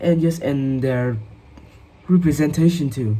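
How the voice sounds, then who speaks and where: A fairly slow pace in a Vietnamese accent. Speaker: English learner. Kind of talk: speaking test practice. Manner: halting, many fillers.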